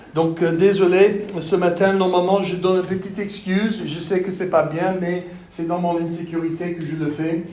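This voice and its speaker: In a Texan accent, a man speaks at a moderate pace with a high voice, monotone, flat intonation and hardly any pauses, amid noticeable background noise and audible room echo. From Texas. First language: English (speaking French). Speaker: pastor. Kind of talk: sermon. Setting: church. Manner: halting.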